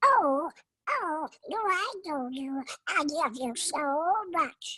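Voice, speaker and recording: At a very slow pace, a speaker uses a put-on character voice pitched high. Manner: innocent, sweet, affectionate.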